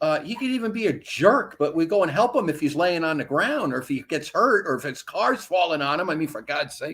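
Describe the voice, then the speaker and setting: A man speaks at a high pitch and a fairly quick pace, with lively intonation and hardly any pauses. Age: 60s. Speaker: chaplain and health care activist. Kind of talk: casual interview chat.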